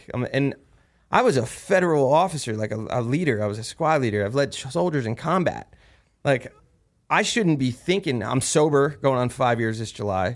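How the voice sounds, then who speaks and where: The recording is very clean with a silent background. A man at medium pitch speaks at a moderate pace with lively intonation. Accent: New Jersey. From New Jersey. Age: 30s. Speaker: war veteran and podcast host. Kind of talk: casual chat.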